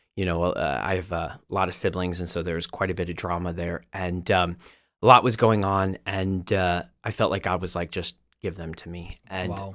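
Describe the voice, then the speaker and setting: A man speaks at a very deep, low pitch with fairly even intonation. His pace is moderate against a quiet background. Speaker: podcast guest. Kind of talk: interview answer. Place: studio. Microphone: studio mic.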